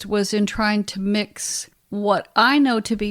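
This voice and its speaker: A woman speaks in a very clean recording with a silent background. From Arkansas, US South. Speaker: scientist. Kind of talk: interview.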